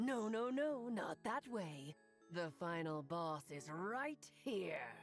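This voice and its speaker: A woman puts on a gravelly character voice at a fairly low pitch, speaking very slowly. Clear music plays in the background. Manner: hostile.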